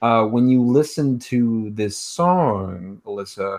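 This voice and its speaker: The speaker is a man with a medium pitch and ordinary pitch variation. He has a plain, everyday voice, heard against a quiet background. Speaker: podcast co-host. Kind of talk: casual chat. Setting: video call.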